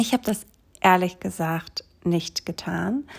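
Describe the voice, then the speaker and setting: Somewhat breathy and calm, gentle in tone, a woman speaks at a very slow pace with ordinary pitch variation. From Greece, small island. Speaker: yoga teacher and essential oils advisor. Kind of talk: solo podcast monologue.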